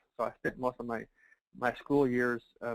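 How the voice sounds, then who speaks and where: With a Texan accent, the speaker goes at a moderate pace in a dry, close sound with no echo. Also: man. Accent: Texan American English. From Texas, El Paso. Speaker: financial services marketer. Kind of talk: motivational testimony.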